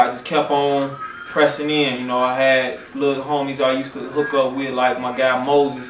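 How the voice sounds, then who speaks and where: A man's medium-pitched, monotone, flat delivery amid audible room echo and noticeable background noise. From Chicago. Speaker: rapper. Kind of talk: interview. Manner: not fast-talking; casual, slangy.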